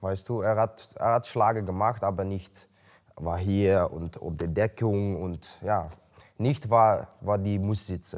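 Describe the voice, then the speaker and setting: A man with a Dutch accent speaks at a very slow pace in a fairly low pitch, with fairly even intonation against a quiet background. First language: Dutch (speaking German). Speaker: MMA fighter. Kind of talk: interview. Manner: halting. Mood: calm, matter-of-fact. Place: gym.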